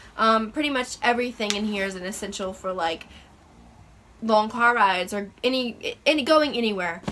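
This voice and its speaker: Speech moves at a moderate pace with ordinary pitch variation, and noticeable background noise runs beneath it. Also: woman, fairly high pitch for a woman. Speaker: lifestyle vlogger and mom. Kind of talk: casual vlog show-and-tell. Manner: halting, many fillers.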